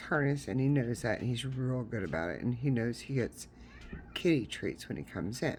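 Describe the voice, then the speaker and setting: The speaker has a Southern US accent. The pace is moderate. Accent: Southern US, noticeable. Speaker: crochet tutorial creator. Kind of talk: tutorial; casual chat. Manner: casual, filler-heavy.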